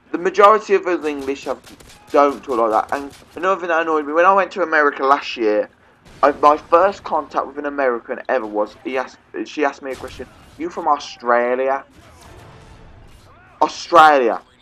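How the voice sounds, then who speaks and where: An animated man with a fairly high pitch talks at a fairly quick pace with ordinary pitch variation. Long, frequent pauses break his speech over noticeable background noise. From England. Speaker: gaming YouTuber. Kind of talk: gameplay commentary rant.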